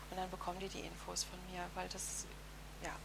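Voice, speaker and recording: A woman talks at a fairly quick pace. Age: 40s. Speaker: psycho-oncology counselor. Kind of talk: interview.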